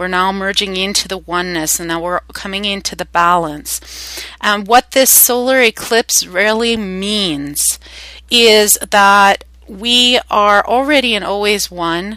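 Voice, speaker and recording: A woman with a Canadian accent, medium pitch, ordinary pitch variation, a bright, sharp tone and a fairly slow pace. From Canada. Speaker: spiritual teacher. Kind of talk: guided meditation talk. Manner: hesitant, many fillers.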